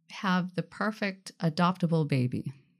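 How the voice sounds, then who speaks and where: This is a woman with an ordinary speaking voice, fairly low in pitch. The recording is very clean, with a silent background. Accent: American. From Washington State, Tacoma area. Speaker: birth mother. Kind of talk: casual chat. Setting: studio.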